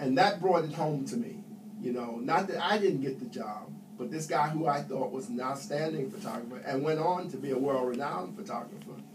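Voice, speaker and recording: A man with a New York accent talks at a fairly quick pace and fairly high pitch, making very wide pitch swings amid audible room echo and noticeable background noise. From New York City. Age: 70s. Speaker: Air Force veteran. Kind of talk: interview.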